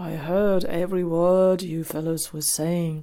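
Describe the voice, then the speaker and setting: Using a put-on character voice, a woman speaks hoarse and fairly slow at a fairly low pitch, her intonation monotone and flat. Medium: read story. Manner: sleepy.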